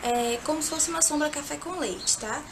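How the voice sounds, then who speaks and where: Amid noticeable background noise and audible room echo, a woman speaks at a high pitch with ordinary pitch variation. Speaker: makeup youtuber. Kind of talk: makeup tutorial.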